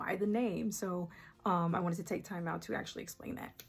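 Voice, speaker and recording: With music in the background, the voice keeps a moderate pace and ordinary pitch variation. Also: woman. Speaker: artist and small business owner. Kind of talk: casual talk to camera. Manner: hesitant, many fillers.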